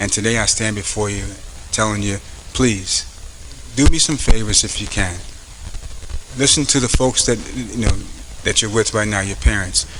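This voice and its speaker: A man with an American accent speaks at a moderate pace with ordinary pitch variation and long, frequent pauses, over noticeable background noise. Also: fairly low pitch for a man. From US Northeast (Paterson, New Jersey). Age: 50s. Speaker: police captain. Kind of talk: motivational speech. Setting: school event with audience.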